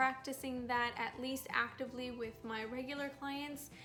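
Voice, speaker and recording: A woman speaks at a moderate pace in a high, monotone, flat voice. Audible room echo and noticeable background noise fill the recording. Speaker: lifestyle vlogger. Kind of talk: casual vlog narration. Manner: casual, rambling with fillers.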